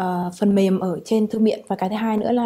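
A woman speaks at a moderate pace with a fairly high pitch and ordinary pitch variation. Her tone is dark and mellow, somewhat breathy, against a quiet background. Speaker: international student. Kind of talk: student testimonial. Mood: calm, positive. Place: hall.

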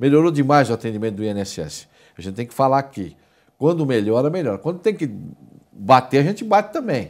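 A man at a fairly quick pace with very wide pitch swings, over a quiet background. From Brazil. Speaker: TV show host. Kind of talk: TV talk show interview. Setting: studio. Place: studio. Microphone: lapel.

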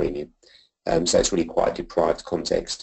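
The background stays quiet. A man talks over it. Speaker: school head teacher presenting. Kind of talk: presentation. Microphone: video call.

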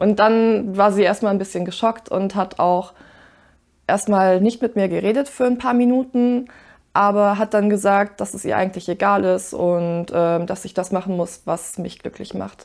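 A woman speaks at medium pitch and a moderate pace with fairly even intonation. The background is quiet. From rural Germany. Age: 20s. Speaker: university student; interviewee. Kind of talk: interview testimony. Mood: relaxed, smiling, reflective. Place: home room.

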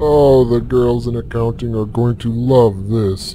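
A man in a put-on character voice at a medium pitch and a fairly slow pace, over clear background noise. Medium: machinima. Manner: apologetic, sycophantic.

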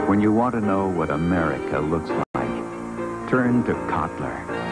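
A man talks fairly slowly through loud background noise. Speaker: announcer. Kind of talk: TV commercial read.

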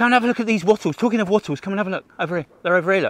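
A man speaks with lively intonation. The sound is dry, with no echo. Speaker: nature educator hosting a livestream. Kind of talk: casual livestream nature talk. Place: forest. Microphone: phone near.

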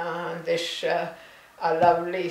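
With a Hebridean accent, a woman talks at a very slow pace in a fairly low voice, and the room echo is audible. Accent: Scottish Hebridean. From Isle of Lewis, Outer Hebrides, Scotland. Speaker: artist. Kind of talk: interview answer. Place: home room. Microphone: camera far.

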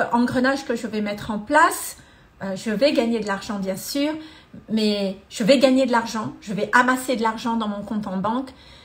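A woman's fairly high-pitched voice, with ordinary pitch variation, a fairly slow pace and long, frequent pauses. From Madagascar. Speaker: energy therapist and coach; coach. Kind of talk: live-stream testimony and talk. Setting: live video stream. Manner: hesitant, many fillers. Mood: warm, earnest. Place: home room. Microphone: phone near.

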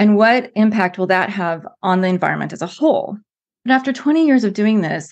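With an American accent and an unremarkable speaking voice, a woman talks at a moderate pace, her medium pitch showing ordinary variation. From United States. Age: middle-aged. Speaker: former environmental planner, climate speaker. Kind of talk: casual interview conversation.

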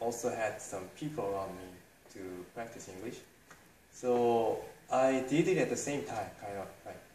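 A man with a Korean accent, a fairly slow pace and ordinary pitch variation, with light background noise and audible room echo. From South Korea. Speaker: English study group founder. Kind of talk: interview answer. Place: cafe.

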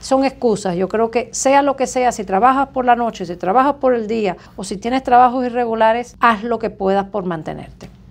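A woman with a plain, everyday voice, a fairly high pitch and ordinary pitch variation, at a moderate pace with hardly any pauses. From Cuba. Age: 50s. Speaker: surgeon; interview guest. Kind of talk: interview. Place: office.

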